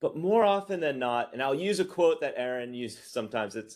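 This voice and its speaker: A man with an American accent, moderate in pace, with very wide pitch swings. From United States. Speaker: investment product strategist. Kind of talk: webinar presentation. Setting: online webinar.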